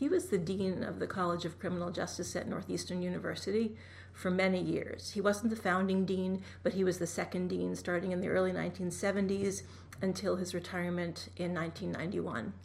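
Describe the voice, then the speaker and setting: A woman with an American accent at a moderate pace, with audible room echo. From Massachusetts, Boston area. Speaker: nonprofit fundraising executive. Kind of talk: interview. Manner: soft-spoken.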